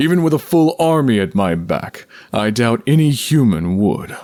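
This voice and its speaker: A man's put-on character voice, fairly slow, with very wide pitch swings. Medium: read story. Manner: earnest, measured.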